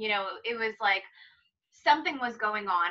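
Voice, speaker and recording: Speaking at a moderate pace with an American accent, the voice sits against a quiet background. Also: woman. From East Los Angeles, Pico Rivera; East Los Angeles. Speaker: psychic; interview guest. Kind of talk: casual interview chat. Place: home room. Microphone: video call.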